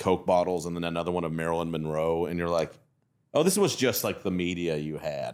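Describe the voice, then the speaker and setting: A man with a Southern US accent talks at a fairly quick pace in a very deep, low pitch. His intonation is monotone and flat, and the recording is very clean with a silent background. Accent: Southern twang. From Texas (Fort Worth). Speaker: comedian. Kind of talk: casual chat.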